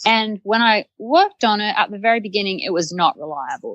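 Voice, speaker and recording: A woman speaks in an Australian accent. The sound is dry and close, with no echo. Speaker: site reliability engineer. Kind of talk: podcast interview.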